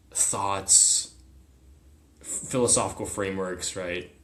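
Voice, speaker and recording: Audible room echo surrounds a man with an American accent and a very deep, low pitch. His tone is bright and sharp, and his pace is fairly slow. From US, partly raised in China as a small child. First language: Chinese. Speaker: military academy graduate, psychedelic retreat participant. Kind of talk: casual interview chat.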